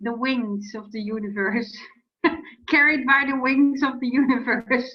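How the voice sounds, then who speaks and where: Audible room echo carries a woman's voice at a fairly slow pace. Her loudness swings widely. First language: not English. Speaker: client. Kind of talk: therapy session. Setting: video call. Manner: halting.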